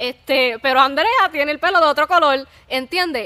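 A woman speaks in a raised, projected voice with a bright, sharp tone, lively intonation and a fairly quick pace. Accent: Puerto Rican. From Puerto Rico. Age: 20s. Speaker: church youth podcast host. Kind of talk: casual faith chat.

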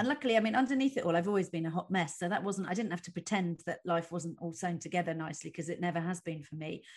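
A woman with a fairly low, somewhat breathy voice talks at a very fast pace with hardly any pauses. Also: lively intonation. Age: 40s. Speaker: comedian. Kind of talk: casual chat. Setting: video call.

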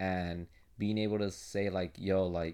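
A man speaks at a low pitch and a fairly slow pace, with little pitch movement. His tone is clear and smooth, yet dark and mellow.

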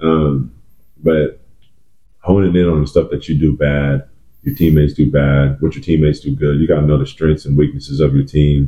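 A man with an American accent and a very deep, low pitch, monotone, flat intonation at a moderate pace, amid noticeable background noise. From Oklahoma (Edmond). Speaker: basketball trainer, former college player. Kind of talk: casual chat.

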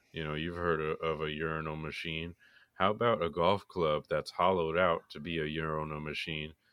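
A man with an American accent talks at a moderate pace. His very deep, low voice is monotone, with flat intonation. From Florida. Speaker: podcast co-host. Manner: dry, playful, sarcastic.

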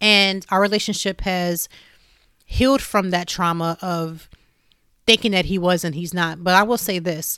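Bright and sharp in tone, a woman with an American accent speaks with fairly even intonation on a very clean recording with a silent background. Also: medium pitch for a woman, fairly slow pace. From US Midwest, Youngstown, Ohio. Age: 40s. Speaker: podcast host. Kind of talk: casual chat.

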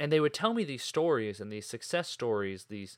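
Talking at a fairly quick pace, a man with a medium pitch and a plain, everyday voice comes through in a very clean recording with a silent background. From New England, North Shore of Boston. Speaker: podcast host, nonprofit director. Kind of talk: solo podcast monologue. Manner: casual, conversational.

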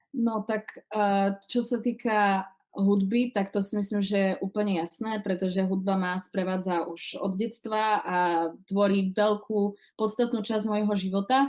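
A woman with an eastern Slovak accent talks at a fairly slow pace with medium pitch and fairly even intonation. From Slovakia, Košice. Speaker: singer and actress. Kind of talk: casual interview.

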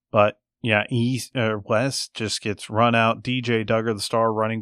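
A man with an American accent speaks at a fairly slow pace with monotone, flat intonation, in a dry, close sound with no echo and a quiet background. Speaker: sports podcast host. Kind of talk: casual sports chat.

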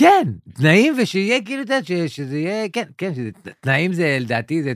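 A man talks with very wide pitch swings. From Israel, Yemenite neighborhood. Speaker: stand-up comedian. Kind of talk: casual chat.

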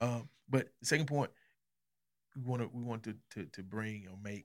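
On a very clean recording with a silent background, a man with an American accent talks at a moderate pace. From Arkansas, US South. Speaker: pastor and podcast host. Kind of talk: casual podcast conversation with spouse.

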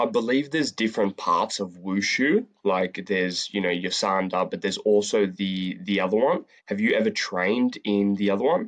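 This man has an ordinary speaking voice, pitched fairly low, with ordinary pitch variation at a moderate pace. The background is quiet. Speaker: podcast host. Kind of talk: casual interview.

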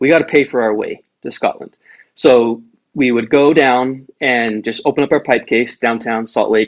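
A man with an unremarkable speaking voice, an American accent, medium pitch, fairly even intonation, and a moderate pace. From Utah, US. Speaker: bagpiper. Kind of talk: casual chat.

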